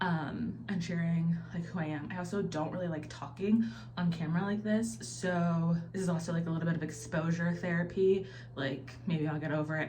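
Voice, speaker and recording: Fairly quick speech with ordinary pitch variation, audible room echo and noticeable background noise. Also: woman. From US Midwest, Ohio (military family, moved around). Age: 30s. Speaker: lifestyle vlogger. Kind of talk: casual vlog talk to camera. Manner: chatty, filler-heavy.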